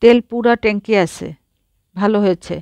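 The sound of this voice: An unforced reading voice with fairly even intonation is heard against a quiet background.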